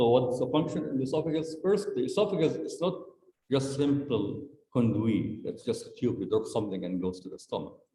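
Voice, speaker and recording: With audible room echo, a man talks at a fairly high pitch. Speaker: medical school lecturer. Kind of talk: lecture. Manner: fast.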